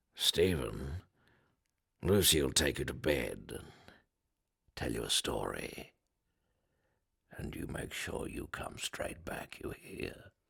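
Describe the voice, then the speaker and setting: Using a put-on character voice, a man speaks raspy and very deep at a fairly slow pace, with long, frequent pauses. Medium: audio drama.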